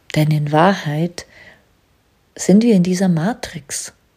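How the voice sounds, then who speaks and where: Calm in tone, a woman talks fairly slowly at a medium pitch with ordinary pitch variation. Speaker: business coach and podcast host. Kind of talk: spiritual monologue. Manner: slow, calm, trance-inducing.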